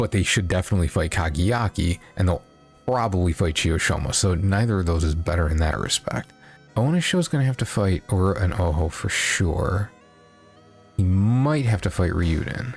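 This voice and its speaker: A soft-spoken man with a very deep, low pitch, moderate pace, very even loudness and ordinary pitch variation, over background music. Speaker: sumo commentator. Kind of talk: casual talk to camera. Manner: quiet, muted, soft-spoken; semi-ASMR feel.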